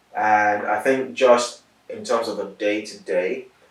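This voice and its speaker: This is a man speaking. There is noticeable background noise. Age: 30s. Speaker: interviewee, sickle cell patient and accountant. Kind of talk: interview. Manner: measured, articulate with some hesitations.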